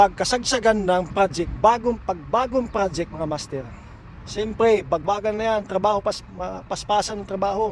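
A man with a high pitch at a moderate pace. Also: ordinary pitch variation. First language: Cebuano (Bisaya) (speaking Tagalog). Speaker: pipe welder and vlogger. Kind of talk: casual advice vlog. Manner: halting.

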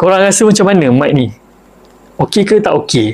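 A man talks in a high-pitched voice. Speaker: vlogger reviewing a microphone. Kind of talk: casual review vlog chat. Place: home room. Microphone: lapel.

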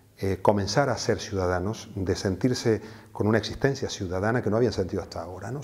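At a very fast pace, a man talks in a fairly low pitch with a dark, mellow tone that is somewhat breathy. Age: 60s. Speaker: activist and teacher; teacher. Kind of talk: interview. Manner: hesitant, with fillers. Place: office. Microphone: lapel.

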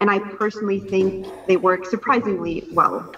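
The woman's speech moves along at a moderate pace. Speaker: government minister giving remarks. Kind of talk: prepared speech. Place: office. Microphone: video call.

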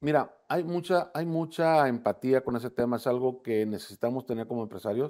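The tone is dark and mellow, with ordinary pitch variation and a fairly quick pace. There are hardly any pauses, and the background is quiet. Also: man, medium pitch for a man. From Mexico, Tamaulipas (Ciudad Victoria); Tamaulipas, Mexico. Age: 60s. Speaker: political candidate; candidate. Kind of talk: interview. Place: studio. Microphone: lapel.

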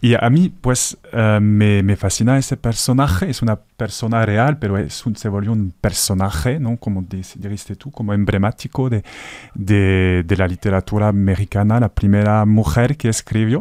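In a French accent, a man with a dark, mellow tone and fairly low pitch speaks at a moderate pace with ordinary pitch variation and hardly any pauses, the sound dry with no echo against a quiet background. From northern France. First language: French (speaking Spanish). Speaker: actor; actor, radio guest. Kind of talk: radio interview. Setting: radio studio. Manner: halting. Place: studio. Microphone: studio mic.

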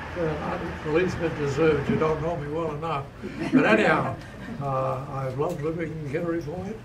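Through loud background noise, a man speaks at a fairly quick pace in a fairly high pitch with ordinary pitch variation. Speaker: war veteran. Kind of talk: birthday speech. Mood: warm, humble, gently humorous. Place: home room. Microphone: camera far.

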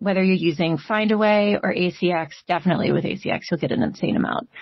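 A woman speaks in a Mid-Atlantic American accent at a medium pitch. Her voice is somewhat breathy, with ordinary pitch variation. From Maryland. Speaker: audiobook narrator. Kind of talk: interview answer. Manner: casual, conversational.

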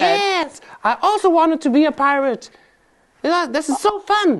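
The pitch climbs to an extreme height. It belongs to a cartoonish character voice. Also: moderate pace. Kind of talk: children's puppet show. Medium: puppet show. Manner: excited, enthusiastic.

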